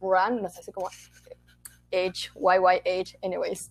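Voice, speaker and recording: A woman with a Chilean accent speaks at a fairly slow pace. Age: 20s. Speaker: theatre student and podcaster. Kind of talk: casual chat.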